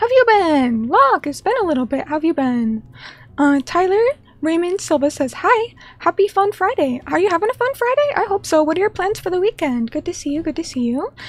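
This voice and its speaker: Fairly quickly, a woman talks at an extremely high pitch with very wide pitch swings. Noticeable background noise sits behind her. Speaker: vtuber streamer. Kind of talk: casual chat. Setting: live stream.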